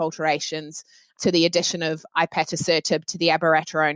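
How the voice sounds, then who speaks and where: In a New Zealand accent, a woman speaks at a moderate pace, her voice dry and close with no echo on a very clean recording with a silent background. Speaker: oncologist. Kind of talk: panel discussion.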